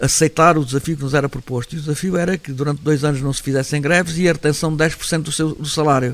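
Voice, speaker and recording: A man with a fairly high pitch rattles along at a very fast pace in a monotone, flat intonation. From Setúbal region, Portugal. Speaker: former worker and local politician. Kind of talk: interview answer.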